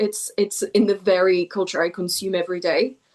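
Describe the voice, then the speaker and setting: A French accent at a moderate pace, with monotone, flat intonation. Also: woman. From southwest France. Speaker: poet. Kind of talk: interview. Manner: hesitant, repeats words.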